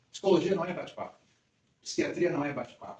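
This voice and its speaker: A man's fairly high-pitched voice goes at a moderate pace. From Brazil, Rio de Janeiro. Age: 60s. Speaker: psychologist. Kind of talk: talk to a women's group.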